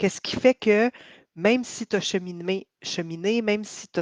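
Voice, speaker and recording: In a Quebec accent, a woman talks at a fairly slow pace with ordinary pitch variation, in a dry, close sound with no echo and a quiet background. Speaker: healing coach. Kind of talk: testimony. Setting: live video stream. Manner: hesitant, many fillers.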